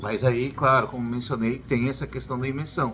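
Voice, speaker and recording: A man speaking with music in the background. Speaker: YouTuber, educator. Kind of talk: casual vlog advice.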